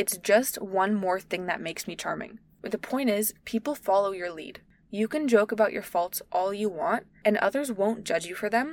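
This woman's voice sits at a medium pitch with ordinary pitch variation. She keeps to a moderate pace. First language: not English. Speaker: podcast host. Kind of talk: solo podcast monologue. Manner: casual, chatty.

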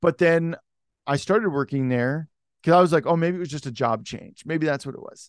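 A fairly high-pitched man with an American accent and ordinary pitch variation, talking at a fairly quick pace in a dry, close sound with no echo against a quiet background. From Oregon, US Pacific Northwest. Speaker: livestream host and former missionary. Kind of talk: testimony.

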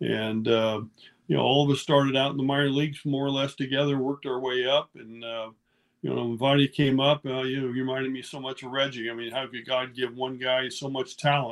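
A man with an American accent talks at a fairly quick pace in a medium pitch with monotone, flat intonation. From California Central Valley. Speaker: retired baseball player. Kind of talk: interview.

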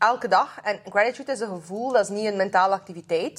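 A woman speaks at a very fast pace in a fairly high voice. Her intonation stays fairly even. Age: 20s. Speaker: podcast host. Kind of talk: casual chat.

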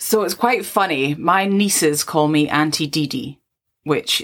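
In a Scottish accent, a woman talks at a fairly slow pace with a very deep, low pitch and ordinary pitch variation. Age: 30s. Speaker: podcast co-host. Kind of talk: casual chat.

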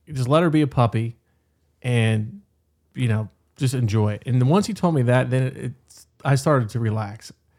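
A man with an American accent and an unremarkable speaking voice talks at a medium pitch and a moderate pace. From West Virginia, Berkeley County. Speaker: conservation fundraiser and bird dog owner. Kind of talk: casual chat.

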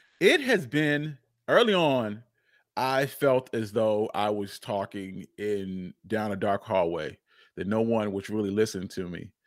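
A man with an American accent and an ordinary speaking voice talks at a fairly slow pace and fairly low pitch, with ordinary pitch variation, on a very clean recording with a silent background. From Charlotte, North Carolina. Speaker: podcaster and history podcast host. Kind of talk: interview.

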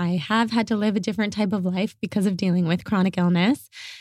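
A woman speaks in a normal speaking voice at a medium pitch with fairly even intonation. The recording is very clean, with a silent background and a dry, close sound with no echo. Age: 30s. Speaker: podcast host and content creator. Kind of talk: casual chat.

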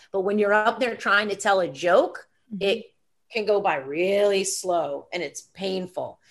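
A woman with an American accent has a plain, everyday voice. She talks at a fairly slow pace, with a medium pitch and ordinary pitch variation. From US South, Atlanta, Georgia. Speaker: actor and comedian. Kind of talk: casual interview chat.

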